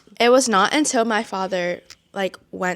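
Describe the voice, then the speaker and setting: A woman speaks with a Vietnamese accent. Her pace is moderate. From Massachusetts (Brockton), US East Coast. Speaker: student podcast co-host. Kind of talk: casual chat.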